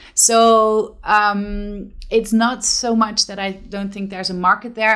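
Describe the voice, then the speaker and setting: A woman of medium pitch speaks in a Dutch accent on a very clean recording with a silent background. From Netherlands, Limburg (Venlo). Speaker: theater company co-founder, actress. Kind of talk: interview.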